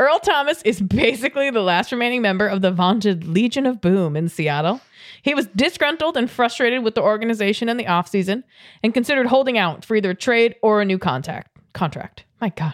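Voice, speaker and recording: Speaking at a very fast pace, a woman uses a fairly high pitch and lively intonation. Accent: American. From New England, Boston area. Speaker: sports podcast co-host. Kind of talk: casual chat.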